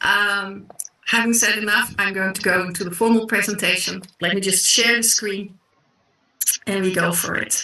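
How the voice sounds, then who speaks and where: A woman with a slight South African accent speaks at a moderate pace and medium pitch in a monotone, flat intonation. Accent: slight South African Dutch. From South Africa and the Netherlands. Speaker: online business presenter. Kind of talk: sales pitch.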